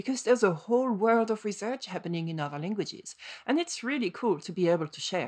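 In a very clean recording with a silent background, a woman with a non-native accent talks at a very fast pace and medium pitch, with lively intonation and big swings in loudness. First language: French. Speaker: podcast co-host. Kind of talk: casual chat.

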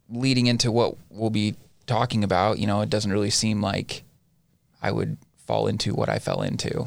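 A man with a fairly low pitch speaks with vocal fry in an American accent. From Southern Utah. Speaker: addiction treatment intake and marketing worker. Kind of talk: recovery story interview.

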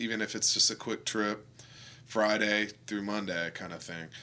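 Speaking at a moderate pace with an American accent, a man has a bright, sharp tone, a fairly low pitch and fairly even intonation, on a very clean recording with a silent background. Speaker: artist and graphic designer. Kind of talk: interview. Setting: artist's studio.

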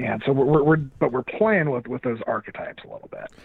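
A man with a fairly high pitch and lively intonation talks at a moderate pace in an ordinary speaking voice. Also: big swings in loudness. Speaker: audio drama podcast host, interview guest.

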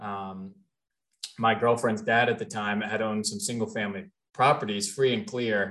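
A man with an American accent has an unremarkable speaking voice, medium in pitch, at a moderate pace with fairly even intonation. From US Midwest, Cincinnati, Ohio. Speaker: multifamily real estate investor. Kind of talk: podcast interview.

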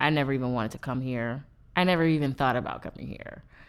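This very clean recording, with its silent background, captures a woman speaking. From US South. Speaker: spoken word poet. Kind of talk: casual interview. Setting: studio.

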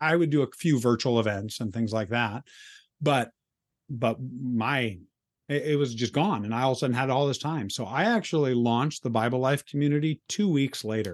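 A man with an unremarkable speaking voice talks at a moderate pace and medium pitch, with ordinary pitch variation over a quiet background. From US, moved around (California, New York, Kansas). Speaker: author and speaker. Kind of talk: casual interview chat.

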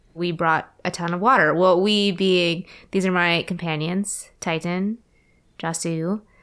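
Speaking at a fairly slow pace with fairly even intonation, a woman has an unremarkable speaking voice, fairly low in pitch. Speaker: tabletop game player.

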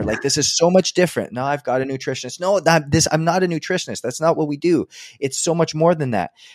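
Fairly quick speech in a Canadian accent. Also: man. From Edmonton, Alberta, western Canada. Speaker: health and performance coach. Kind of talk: interview conversation.

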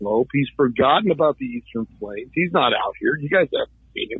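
A man speaks at a fairly high pitch in a normal speaking voice. His pace is moderate. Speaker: political candidate, contractor. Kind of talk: radio interview, campaign talk.

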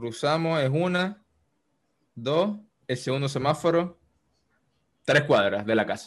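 With lively intonation, a man talks at a fairly slow pace with long, frequent pauses against a quiet background. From Valencia, Venezuela. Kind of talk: casual chat, personal storytelling.

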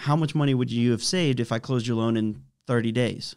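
A man with an American accent and a normal speaking voice talks at a fairly quick pace in a medium pitch with ordinary pitch variation, on a very clean recording with a silent background. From US, Washington DC area (Fairfax, Virginia). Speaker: mortgage broker co-owner. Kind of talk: casual interview.

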